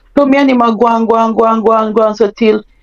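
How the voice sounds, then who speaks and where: A woman with a Jamaican accent talks at a fairly high pitch. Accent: Jamaican, Patois-inflected. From Jamaica (Mandeville). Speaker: guest sharing life story. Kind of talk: personal testimony.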